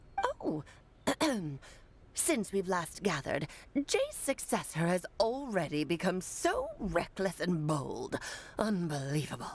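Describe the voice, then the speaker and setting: A woman of medium pitch performs a put-on character voice at a fairly slow pace. Long, frequent pauses appear, and clear background noise can be heard. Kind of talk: formal, archaic. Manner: scolding.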